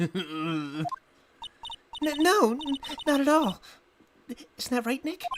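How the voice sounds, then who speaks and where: This put-on character voice sits at a fairly high pitch and makes very wide pitch swings. It moves at a very slow pace, with long, frequent pauses. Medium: virtual streamer. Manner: excitable, quick to react.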